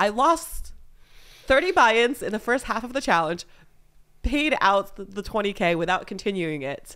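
A woman with an American accent and a fairly high, bright, sharp voice talks at a moderate pace, her pitch swinging very widely and her loudness rising and falling sharply. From California, San Diego area. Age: 20s. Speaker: poker player. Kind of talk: casual chat.

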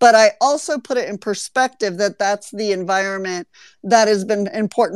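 Lively intonation comes through in a dry, close sound with no echo. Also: woman. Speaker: podcast host. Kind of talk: casual chat. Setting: online audio room. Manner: animated.

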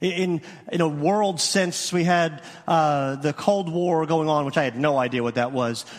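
An ordinary speaking voice from a man, fairly high in pitch and fairly slow, with ordinary pitch variation and very even loudness. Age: 40s. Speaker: youth minister. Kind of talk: sermon. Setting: church.

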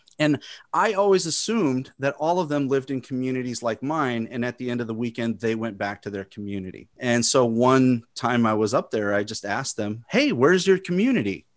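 Recorded very cleanly against a silent background, a man with a medium pitch talks at a fairly quick pace. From Chicago, US Midwest. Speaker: podcast host, video producer. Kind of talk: casual interview. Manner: halting.

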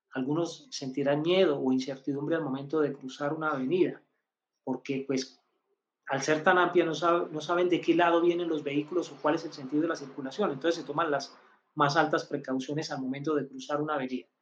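Speaking at a fairly quick pace, a man with a normal speaking voice uses a fairly high pitch and fairly even intonation. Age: 50s. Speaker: numerologist. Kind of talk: live-stream teaching.

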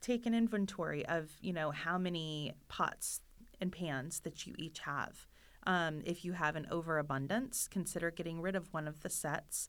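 A woman with a normal speaking voice and an American accent, fairly low in pitch with ordinary pitch variation, at a fairly slow pace, in a very clean recording with a silent background. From Florida. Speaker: professional organizer, business owner. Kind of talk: podcast interview.

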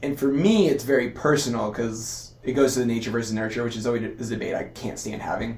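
A man at a very fast pace with hardly any pauses, fairly even intonation and a medium pitch, plus audible room echo and noticeable background noise. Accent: Californian. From Southern California, Costa Mesa. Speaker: physical therapist and competitive athlete. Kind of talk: casual interview conversation.

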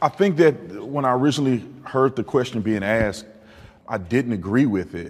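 Using a plain, everyday voice, a man with an American accent talks at a moderate pace and medium pitch with lively intonation. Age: 30s. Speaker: former police officer, panel participant. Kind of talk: panel debate.

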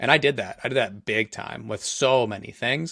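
On a very clean recording with a silent background and a dry, close sound with no echo, a man talks at a fairly quick pace with ordinary pitch variation. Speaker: entrepreneur and podcaster. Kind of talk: casual interview.

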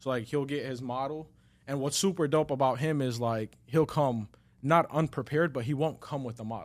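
A man's fairly high voice with an American accent, an ordinary speaking voice at a fairly quick pace with fairly even intonation. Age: 20s. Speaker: barber. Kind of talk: casual chat.

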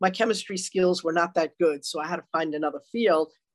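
A woman with a Long Island accent, fairly low in pitch, at a fairly quick pace with ordinary pitch variation, in a dry, close sound with no echo. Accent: New York (Long Island). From Long Island, New York. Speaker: retired detective, author. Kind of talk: interview.

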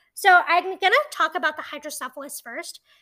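In a very clean recording with a silent background, a woman projects a raised voice with a bright, sharp tone at a fairly quick pace. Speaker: podcast host. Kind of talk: casual, personal storytelling.

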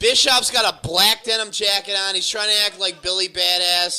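A man raises and projects his high-pitched voice at a moderate pace. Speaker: podcast host. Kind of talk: casual banter, profane riffing, live reaction while watching wrestling. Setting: garage podcast recording.

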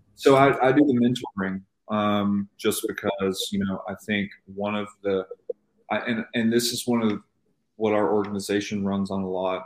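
Here a man with an unremarkable speaking voice talks at a moderate pace, with fairly low pitch and fairly even intonation. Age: 20s. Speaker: real estate agent. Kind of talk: interview.

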